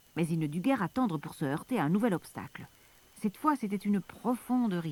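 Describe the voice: The intonation is lively in this plain reading aloud.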